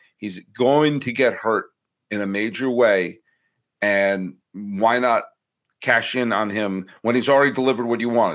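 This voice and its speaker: A man with a plain, everyday voice speaks at a medium pitch with ordinary pitch variation in a very clean recording with a silent background. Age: 40s. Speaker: baseball podcaster. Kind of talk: casual chat.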